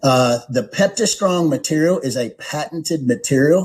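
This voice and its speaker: With a plain, everyday voice, a man talks at a fairly high pitch and with lively intonation. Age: 50s. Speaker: product presenter, wellness company executive. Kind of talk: product overview presentation. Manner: repetitive fillers, casual conversational delivery.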